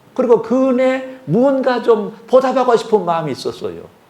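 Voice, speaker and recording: A man talks at a moderate pace in a dark, mellow tone. The room echo is audible. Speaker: retired pastor, guest preacher. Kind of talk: sermon. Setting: church service with congregation.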